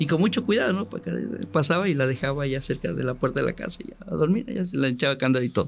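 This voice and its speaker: Rushing at a very fast pace, a man with vocal fry and a fairly high pitch swings very widely in pitch and greatly in loudness. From Mexico, Córdoba, Veracruz. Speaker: journalist. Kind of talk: storytelling interview.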